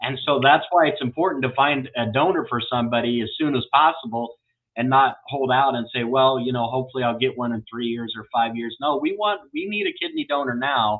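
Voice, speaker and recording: With an American accent and an ordinary speaking voice, a man of medium pitch and ordinary pitch variation talks at a fairly quick pace with hardly any pauses. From Iowa, US Midwest. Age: 40s. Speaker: kidney transplant advocate host. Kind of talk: interview.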